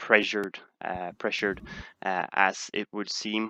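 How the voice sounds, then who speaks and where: Against a quiet background, a man with a Swedish accent speaks fairly slowly at a fairly low pitch, his bright, sharp tone delivered in monotone, flat intonation with a dry, close sound and no echo. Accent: Swedish accent, sounds similar to Dutch. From Sweden. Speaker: stock market streamer. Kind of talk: live stream Q&A. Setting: live stream. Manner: halting, many fillers.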